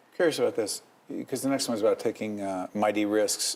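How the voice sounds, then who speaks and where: There is noticeable background noise behind this recording. A man speaks at a very fast pace. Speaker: TV show host interviewer. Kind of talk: TV interview questions.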